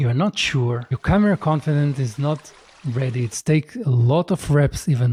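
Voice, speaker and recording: The voice has a non-native accent and a dark, mellow tone. It moves at a moderate pace and sounds somewhat breathy. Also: man. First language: not English. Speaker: content creator. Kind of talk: casual talk to camera.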